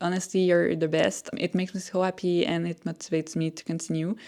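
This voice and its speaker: Very fast delivery in a strong French-Canadian accent, with monotone, flat intonation. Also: woman. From Quebec, Montreal. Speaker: artist and small business owner. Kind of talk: casual vlog monologue.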